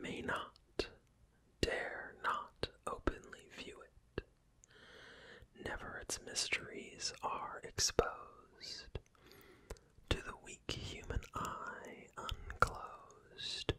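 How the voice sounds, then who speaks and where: Whispering at a very slow pace, a man leaves long, frequent pauses, his loudness swinging widely over noticeable background noise. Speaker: ASMR creator. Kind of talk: poetry reading. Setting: close binaural microphone. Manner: whispered; soft-spoken, slow.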